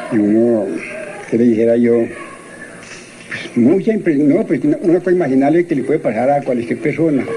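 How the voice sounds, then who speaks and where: The pitch rises and falls in an ordinary way at a moderate pace. Noticeable noise sits in the background. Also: man. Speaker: former cemetery worker. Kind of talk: interview. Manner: halting.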